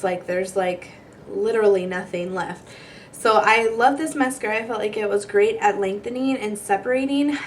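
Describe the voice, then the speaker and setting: Over noticeable background noise, a woman with a fairly high pitch talks at a moderate pace and with ordinary pitch variation. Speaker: beauty vlogger. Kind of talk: product review vlog. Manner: casual, chatty.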